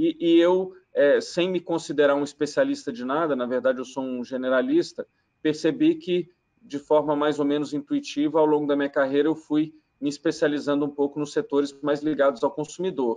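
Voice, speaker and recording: With a quiet background, a man's dark, mellow voice moves at a moderate pace with fairly even intonation. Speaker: remote guest. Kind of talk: interview answer. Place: home room. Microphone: video call.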